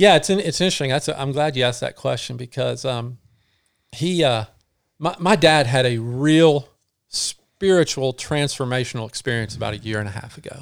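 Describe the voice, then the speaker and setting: Here is a man with a plain, everyday voice at a medium pitch and ordinary pitch variation. He talks at a fairly quick pace on a very clean recording with a silent background. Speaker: ultra runner and co-instructor. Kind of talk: casual interview chat.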